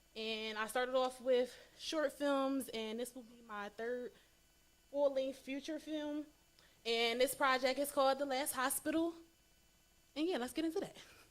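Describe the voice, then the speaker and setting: Leaving long, frequent pauses, a woman speaks with high pitch, ordinary pitch variation and big swings in loudness. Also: moderate pace. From Chester, Pennsylvania, US. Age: 20s. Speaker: filmmaker. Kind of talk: interview.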